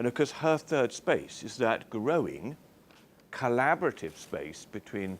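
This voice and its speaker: At a fairly slow pace, a man with a British accent speaks with very wide pitch swings. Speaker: chief executive giving a talk. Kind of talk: speech to an audience.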